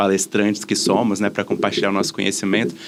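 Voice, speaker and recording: A man speaks with a Minas Gerais accent. His pitch is fairly low. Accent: Minas Gerais (mineiro) accent, noticeable. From Brazil, Minas Gerais (Belo Horizonte). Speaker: diversity and inclusion specialist. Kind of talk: podcast interview.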